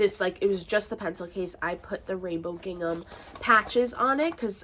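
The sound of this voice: This woman speaks at a moderate pace in a nasal, fairly bright tone with lively intonation.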